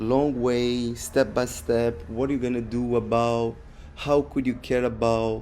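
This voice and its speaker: A man with a non-native accent speaks at a fairly slow pace. His tone is dark and mellow. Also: medium pitch for a man, ordinary pitch variation. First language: not English. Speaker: podcast host. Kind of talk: casual monologue. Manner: halting, with repetitions and fillers.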